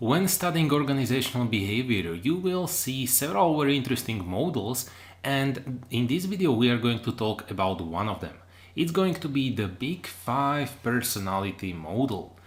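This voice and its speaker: A man with a non-native accent speaks at a medium pitch and a moderate pace, his pitch swinging very widely. Music plays in the background, and the room echo is audible. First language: not English. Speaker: online lecturer. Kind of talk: lecture. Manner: hesitant, with fillers.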